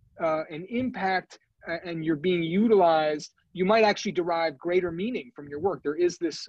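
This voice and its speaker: A man with an American accent, high pitch and fairly quick pace, in a dry, close sound with no echo. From New York. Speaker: physician and wellness officer. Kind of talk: Q&A after a grand rounds lecture. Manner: fast.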